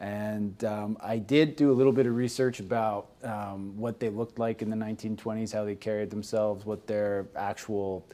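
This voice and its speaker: A man's dark, mellow, fairly low voice with a Canadian accent, at a moderate pace with fairly even intonation and hardly any pauses. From Canada. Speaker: actor. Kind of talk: casual chat. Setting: livestream.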